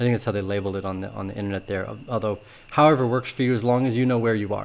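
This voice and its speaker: A man's voice at a medium pitch, with ordinary pitch variation. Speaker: crypto market analyst. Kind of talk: market analysis video. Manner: fast.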